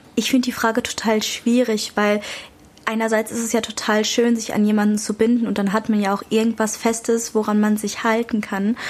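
A woman with a fairly high voice speaks at a moderate pace in a flat monotone against noticeable background noise. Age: young. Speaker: youth podcast co-host. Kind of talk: casual chat.

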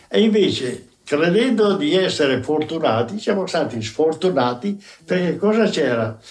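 Over noticeable background noise, a man with a fairly high pitch speaks with very wide pitch swings. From Veneto, Polesine (Rovigo). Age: 90s. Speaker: retired telegraph worker and writer. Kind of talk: oral history interview. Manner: halting.

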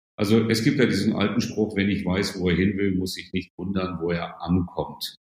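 A man speaks with fairly even intonation. His pitch is fairly low. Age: 60s. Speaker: management consultant and author. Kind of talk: podcast interview.

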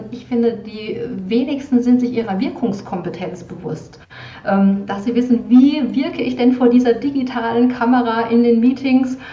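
Speaking at a moderate pace, a high-pitched woman is heard with noticeable background noise and audible room echo. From Palatinate, Germany. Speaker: moderator and media presence trainer. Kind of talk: casual interview chat.

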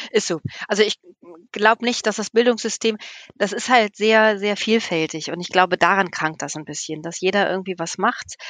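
Heard in a dry, close sound with no echo, a woman at medium pitch uses a plain, everyday voice, a moderate pace, ordinary pitch variation and big swings in loudness. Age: 50s. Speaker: nun and children's village mother. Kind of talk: casual chat.

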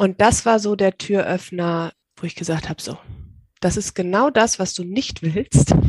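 At a fairly slow pace, an ordinary speaking voice shows ordinary pitch variation and big swings in loudness, with a dry, close sound and no echo. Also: woman, medium pitch for a woman. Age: 30s. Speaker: virtual assistant. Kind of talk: interview.

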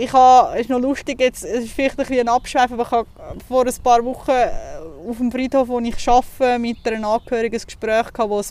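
Speaking at a fairly quick pace, a woman with a Zurich accent has a high pitch. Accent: Swiss German (Zurich). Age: 30s. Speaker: funeral office worker. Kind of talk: casual interview. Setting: outdoors in a cemetery.

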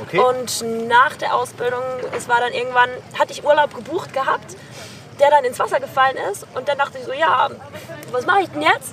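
Through noticeable background noise, a woman with a high pitch talks fairly quickly with lively intonation. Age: 20s. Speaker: sailing skipper. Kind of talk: interview.

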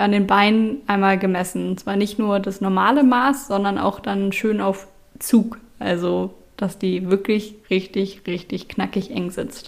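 This woman has an ordinary speaking voice, medium in pitch, delivered at a fairly slow pace with fairly even intonation. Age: 20s. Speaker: IT consultant, patient sharing illness experience. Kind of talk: interview testimony.

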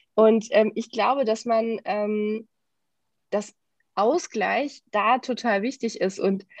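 A normal speaking voice with fairly even intonation. The background is quiet. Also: woman. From Germany, Düsseldorf. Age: 30s. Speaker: corporate training manager. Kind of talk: casual interview.

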